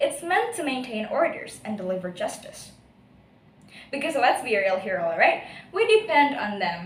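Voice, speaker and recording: A woman's high voice with an Indonesian accent, very wide pitch swings, moderate pace and audible room echo. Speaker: university student speech contestant. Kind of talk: speech competition. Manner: animated.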